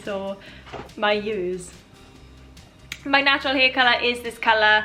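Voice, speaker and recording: A woman with a Welsh accent speaks fairly slowly in a fairly high voice while music plays in the background. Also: ordinary pitch variation. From Wales. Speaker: YouTuber. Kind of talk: casual talk to camera.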